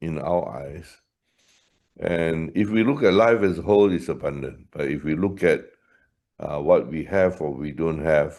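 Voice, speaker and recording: A man's very deep, low voice is heard against a quiet background. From Malaysia. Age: 70s. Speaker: leadership trainer. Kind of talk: webinar conversation.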